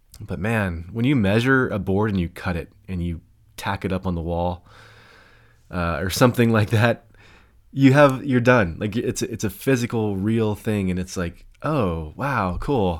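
This man talks at a moderate pace with ordinary pitch variation and a fairly low voice. The recording is very clean, with a silent background. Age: 40s. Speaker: podcast host and seminary student. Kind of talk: reading aloud; casual chat. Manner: halting.

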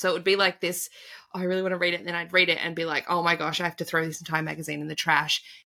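A woman with an Australian accent, fairly low-pitched with vocal fry, a bright, sharp tone and fairly even intonation. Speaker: tarot reader and spiritual coach. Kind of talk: casual interview conversation.

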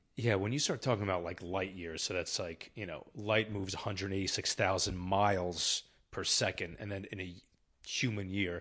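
In a quiet setting, a man with a plain, everyday voice talks fairly quickly at a fairly low pitch. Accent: American. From New Jersey. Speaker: podcast co-host. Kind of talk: casual chat.

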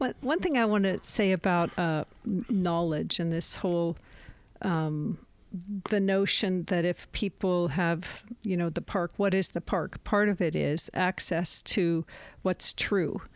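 A woman's normal speaking voice, fairly low in pitch, at a fairly slow pace with ordinary pitch variation and very even loudness, in a dry, close sound with no echo on a very clean recording with a silent background. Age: 60s. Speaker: documentary filmmaker. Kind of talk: interview conversation.

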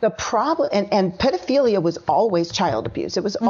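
Over noticeable background noise, a woman with a medium pitch and lively intonation speaks at a very fast pace. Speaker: author and education activist, guest. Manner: fiery, indignant, emphatic.

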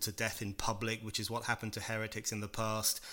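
On a very clean recording with a silent background, a man with a British accent talks at a fairly quick pace in a bright, sharp tone. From UK. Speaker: author and political writer. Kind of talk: interview.

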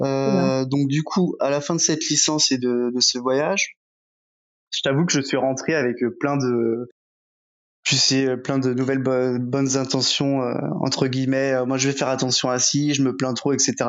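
A man's medium-pitched voice with very even loudness, fairly even intonation and long, frequent pauses. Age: 30s. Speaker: entrepreneur. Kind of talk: interview. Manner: fast.

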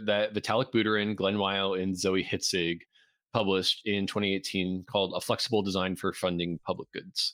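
A man speaks with a bright, sharp tone. The recording is very clean, with a silent background and a dry, close sound with no echo. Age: 30s. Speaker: software engineer and crypto entrepreneur. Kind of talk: casual interview.

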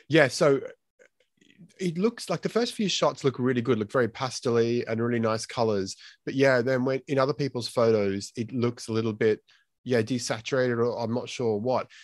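In an Australian accent, a man speaks at a moderate pace and medium pitch with ordinary pitch variation. The sound is dry and close with no echo, over a quiet background. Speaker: film photography podcast host. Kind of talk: casual chat. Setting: live stream.

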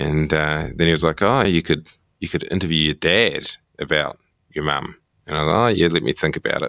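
Speaking fairly quickly with a New Zealand accent, a man has a very deep, low pitch with ordinary variation and a bright, sharp tone, recorded very cleanly against a silent background with a dry, close sound and no echo. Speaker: TV journalist. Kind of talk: casual interview. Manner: halting, repeats words.

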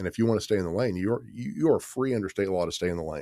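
In an American accent, a man with a fairly low pitch talks at a very fast pace with ordinary pitch variation. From Kansas City area, Missouri. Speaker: city planner. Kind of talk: casual interview. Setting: studio.

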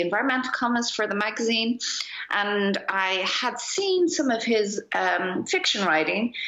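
With an Irish accent, a woman speaks over noticeable background noise. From Ireland. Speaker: magazine editor and publisher. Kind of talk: casual chat. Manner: halting, with frequent repetitions.

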